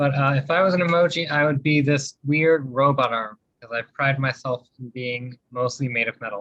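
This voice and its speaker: With an American accent, an ordinary speaking voice moves at a moderate pace with ordinary pitch variation, big swings in loudness, hardly any pauses, and a dry, close sound with no echo. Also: man, fairly high pitch for a man. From central Ohio. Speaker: student. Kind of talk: class introductions on video call.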